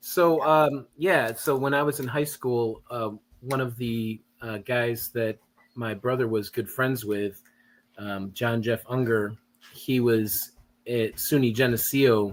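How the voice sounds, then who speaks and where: Speaking at a very slow pace, a man with a Western New York accent uses a medium pitch and ordinary pitch variation. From Western New York (Rochester area). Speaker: guest storyteller. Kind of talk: casual chat, personal story.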